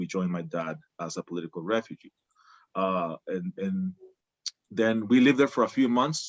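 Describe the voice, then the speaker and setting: Against music in the background, a man with a fairly low pitch talks at a moderate pace with ordinary pitch variation in a dry, close sound with no echo. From Guatemala. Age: 50s. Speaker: migration and trauma worker. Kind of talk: personal testimony. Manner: hesitant, many fillers.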